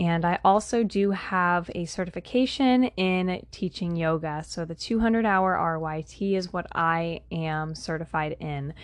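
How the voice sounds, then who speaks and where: In an ordinary speaking voice, a woman speaks at a fairly slow pace with hardly any pauses, her fairly low pitch showing ordinary pitch variation over a quiet background. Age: 20s. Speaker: holistic health coach and podcast host. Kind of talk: solo podcast monologue.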